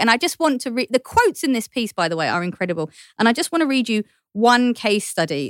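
A woman with a Cockney accent, in a dry, close sound with no echo on a very clean recording with a silent background. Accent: London Cockney English. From East London. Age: 30s. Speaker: journalist and podcast host. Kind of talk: casual chat.

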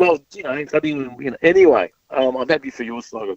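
A man puts on a strained character voice, fairly high for him, with ordinary pitch variation. He goes at a fairly slow pace, and the sound is dry and close with no echo. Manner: through gritted teeth, tight and strained.

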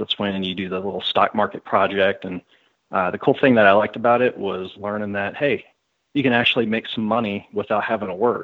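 A man's voice in a monotone, flat intonation. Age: 30s. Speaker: former financial planner. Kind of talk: interview.

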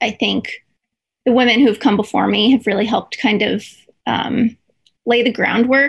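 A woman speaks with a fairly high pitch and a fairly bright tone, showing ordinary pitch variation, a slightly husky edge, and vocal fry.

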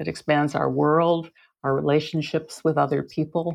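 Over a quiet background, a woman with a very deep, low voice and vocal fry speaks at a fairly slow pace. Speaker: author. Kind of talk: casual chat.

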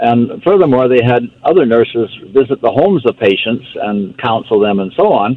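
A man speaks with an unremarkable speaking voice at a moderate pace. His intonation is lively and he hardly pauses. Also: medium pitch for a man. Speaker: supplement company representative. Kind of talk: casual chat.

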